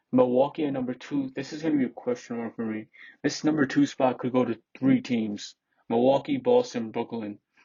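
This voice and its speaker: A man with a medium pitch talks fairly quickly, his intonation fairly even. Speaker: sports YouTuber. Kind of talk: casual commentary. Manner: halting, repetitive.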